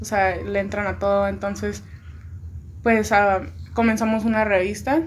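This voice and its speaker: Long, frequent pauses break up a woman's fairly slow speech, which carries audible room echo. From Tijuana, Mexico. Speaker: music composition student. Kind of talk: casual chat.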